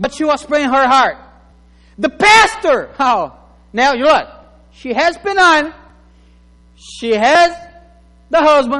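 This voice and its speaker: Pitched extremely high for a man, he projects his voice with lively intonation, big swings in loudness and long, frequent pauses at a fairly slow pace. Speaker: pastor. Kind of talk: sermon. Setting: church.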